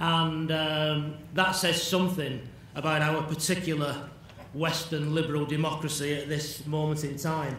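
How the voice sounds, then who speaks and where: Speaking in a Manchester accent, a man with a fairly high pitch talks at a fairly slow pace in a monotone, flat intonation, amid audible room echo and noticeable background noise. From northern England, Bury near Manchester. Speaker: addiction specialist lecturer. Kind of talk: lecture.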